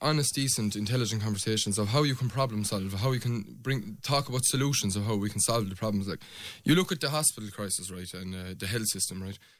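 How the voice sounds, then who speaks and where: A man with a Limerick accent speaks very fast with lively intonation, on a very clean recording with a silent background. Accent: Irish (Limerick). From Ireland, County Limerick. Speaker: election candidate. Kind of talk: radio election debate.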